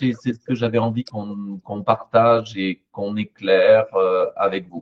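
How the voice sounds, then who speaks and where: Fairly slow speech from a man, dry and close-sounding without echo. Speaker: psychologist and therapy trainer. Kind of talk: panel discussion.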